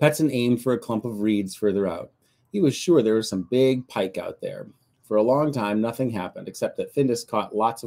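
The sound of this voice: The voice is an unforced reading voice. Behind it, the background stays quiet.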